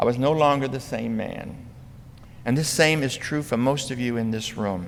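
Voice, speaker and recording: Speaking fairly slowly at a medium pitch, a man uses ordinary pitch variation amid audible room echo. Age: 70s. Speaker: potter, conference lecturer. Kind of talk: lecture.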